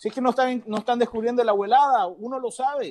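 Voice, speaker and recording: Talking at a very fast pace, a man with an extremely high pitch uses ordinary pitch variation. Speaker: radio co-host, sports commentator. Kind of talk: heated sports radio debate.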